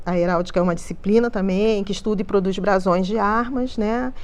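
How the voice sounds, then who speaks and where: A woman's voice, with fairly even intonation, is heard with audible room echo. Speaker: museology researcher. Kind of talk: panel talk. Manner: halting.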